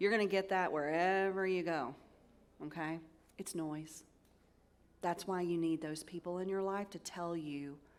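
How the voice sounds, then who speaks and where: The speech carries a Southern US accent at a moderate pace with ordinary pitch variation. There is audible room echo. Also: woman. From US South. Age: 50s. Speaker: cybersecurity executive advisor. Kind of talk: conference keynote talk. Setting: stage with audience. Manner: animated.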